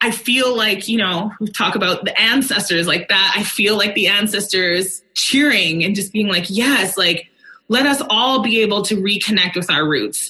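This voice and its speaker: A woman with a Canadian accent talks at a fairly slow pace and medium pitch. It is an ordinary speaking voice. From Alberta, Canada. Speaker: country singer. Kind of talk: casual chat.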